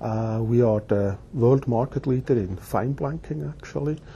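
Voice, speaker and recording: A man's somewhat breathy, dark and mellow voice at a fairly slow pace, over light background noise. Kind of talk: interview answer. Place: office. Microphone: lapel.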